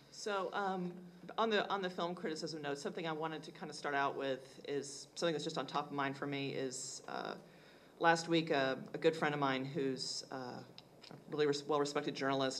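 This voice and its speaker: A woman with an American accent speaks at a very deep, low pitch with ordinary pitch variation. Audible room echo colors the recording. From Texas (Fort Worth). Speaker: film journalist and editor. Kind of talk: panel discussion.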